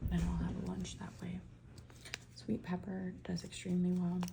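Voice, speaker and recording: A soft-spoken woman whispering, with noticeable background noise. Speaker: ASMR creator, home gardener. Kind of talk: soft-spoken ASMR ramble. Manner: soft-spoken, whispering, chatty.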